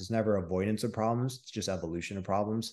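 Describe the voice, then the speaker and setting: Over a quiet background, a man talks at a very fast pace. His pitch is fairly low, with ordinary variation. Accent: Midwestern American. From Michigan. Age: 30s. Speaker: online coach and real estate investor. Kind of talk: interview. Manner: animated.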